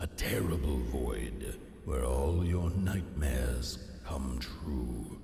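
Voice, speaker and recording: Using a put-on character voice, a man speaks at a very slow pace. There is slight echo and clear background noise. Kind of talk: poetic game narration. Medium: video game.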